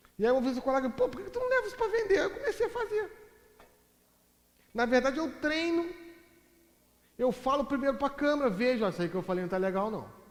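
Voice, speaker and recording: The tone is animated, with very wide pitch swings at a very fast pace. Long pauses break it up frequently. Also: man, extremely high pitch for a man. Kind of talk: lecture.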